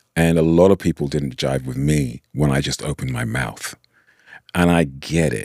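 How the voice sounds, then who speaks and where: With a British accent, a man speaks in a very deep, low pitch with ordinary pitch variation. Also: moderate pace. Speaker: podcast host. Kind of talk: casual chat. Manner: animated.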